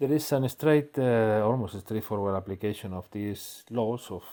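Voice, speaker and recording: His tone is dark and mellow, with a fairly low pitch for a man. The pitch varies in an ordinary way. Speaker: physics professor. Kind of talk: lecture. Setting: recorded video lecture. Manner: slow; halting, many fillers.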